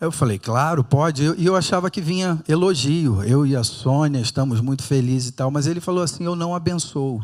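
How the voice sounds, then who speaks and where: Speaking at a fairly quick pace, a man has a fairly high pitch. His pitch varies in an ordinary way. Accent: Rio de Janeiro. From Rio de Janeiro, Brazil. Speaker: pastor. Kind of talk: sermon. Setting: church with audience.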